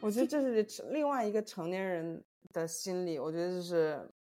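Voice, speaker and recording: A woman is talking. Music can be heard behind her. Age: 30s. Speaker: podcast co-host. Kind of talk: casual chat.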